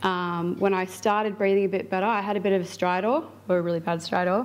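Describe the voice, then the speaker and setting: Using a normal speaking voice, a woman keeps a medium pitch and fairly even intonation. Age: 20s. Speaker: flu patient sharing case study. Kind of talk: personal testimony at public talk. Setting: symposium with live audience. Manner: casual, many filler words.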